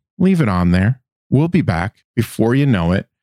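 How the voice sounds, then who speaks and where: In a dry, close recording with no echo, an unremarkable speaking voice moves at a moderate pace with lively intonation. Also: man. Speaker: podcast host. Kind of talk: casual chat.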